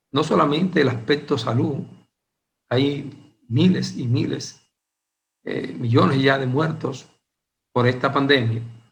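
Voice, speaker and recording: Speaking at a very slow pace with long, frequent pauses, a man uses a fairly high pitch, ordinary pitch variation and vocal fry. Audible room echo surrounds his voice. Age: 60s. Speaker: Bible teacher. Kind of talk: Bible study lecture. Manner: hesitant with frequent fillers.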